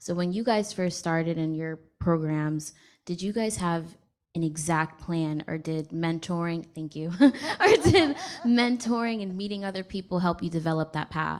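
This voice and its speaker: A woman's normal speaking voice, fairly low in pitch, at a moderate pace with ordinary pitch variation. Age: 20s. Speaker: audience member, incoming graduate student. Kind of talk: audience question.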